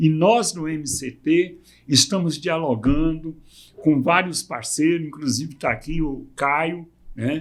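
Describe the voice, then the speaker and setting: Using ordinary pitch variation, a man talks at a fairly high pitch and a very slow pace. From Brazil, Goiânia (Goiás). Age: 60s. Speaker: community movement leader. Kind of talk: podcast interview.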